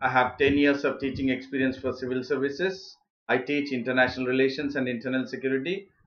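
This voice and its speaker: A man at a very fast pace, with fairly even intonation. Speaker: online exam tutor. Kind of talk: lecture. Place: home room.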